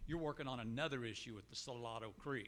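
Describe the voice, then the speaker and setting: Loud and bright, this man's voice has a sharp tone. He talks at a moderate pace with ordinary pitch variation. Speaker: resident. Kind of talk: public comment at town hall.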